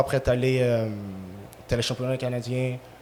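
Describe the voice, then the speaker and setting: A man at a fairly quick pace. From Quebec, Montreal. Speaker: ex-professional soccer player. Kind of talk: casual chat.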